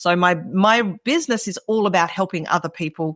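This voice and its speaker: A woman with an Australian accent speaks at a moderate pace in a fairly low voice with ordinary pitch variation, the sound dry and close with no echo on a very clean recording with a silent background. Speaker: entrepreneur. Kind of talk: podcast interview.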